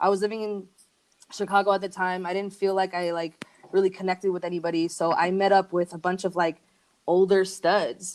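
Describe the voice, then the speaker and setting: The delivery is fairly quick and monotone, with flat intonation. A slight Argentine accent comes through. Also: woman, medium pitch for a woman. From Argentina, then various US cities. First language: Spanish. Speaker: musician and record label founder. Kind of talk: casual chat.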